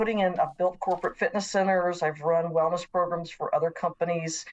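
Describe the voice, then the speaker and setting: A woman speaks fairly quickly in a fairly low voice. Her intonation stays fairly even and her loudness very even. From US South, Nashville, Tennessee. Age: 60s. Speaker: professor. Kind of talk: interview.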